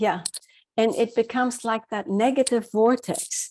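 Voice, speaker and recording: Against a quiet background, a woman uses an ordinary speaking voice, fairly high in pitch and fairly slow, with ordinary pitch variation. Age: 60s. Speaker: happiness coach. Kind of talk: interview. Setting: radio show.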